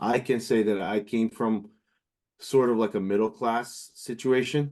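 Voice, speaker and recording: A man with a Portuguese accent, fairly low in pitch, at a moderate pace. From Brazil (São Paulo state). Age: 30s. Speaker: musician. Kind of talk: interview. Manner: halting, many fillers.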